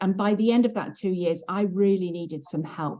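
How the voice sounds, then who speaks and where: The speaker uses ordinary pitch variation and talks with a British accent. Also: woman. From England. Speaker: trauma healing facilitator and former pastor's wife. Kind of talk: interview testimony.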